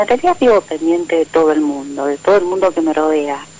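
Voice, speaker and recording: A woman speaks at a moderate pace with a fairly low pitch and fairly even intonation. Noticeable background noise runs behind her. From Argentina, Buenos Aires area. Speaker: radio caller. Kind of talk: phone call-in conversation.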